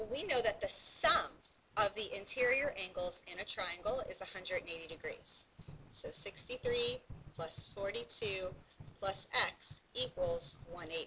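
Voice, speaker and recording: A woman talks at a very slow pace. There is light background noise. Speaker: math teacher. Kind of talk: tutorial.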